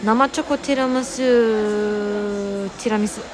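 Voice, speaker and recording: A woman is whispering. Noticeable background noise and audible room echo accompany her. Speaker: livestreamer. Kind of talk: casual chat.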